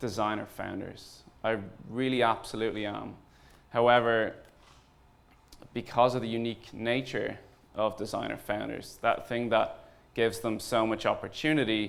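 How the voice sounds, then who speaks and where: A man at medium pitch, monotone and flat, moderate pace, long, frequent pauses, audible room echo. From Ireland. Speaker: startup founder and CEO. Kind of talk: conference talk. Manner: hesitant, many fillers.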